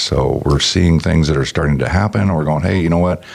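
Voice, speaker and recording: Amid noticeable background noise, a man with a very deep, low pitch and ordinary pitch variation talks at a fairly quick pace. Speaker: automotive technician and founder. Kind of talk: casual interview chat.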